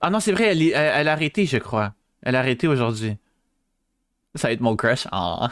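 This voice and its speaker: Speaking at a fairly quick pace in a Quebec accent, a man with a medium pitch takes long, frequent pauses, keeps his loudness very even and swings very widely in pitch. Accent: Québécois. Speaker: VTuber streamer. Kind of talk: live stream chat. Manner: hesitant, many fillers.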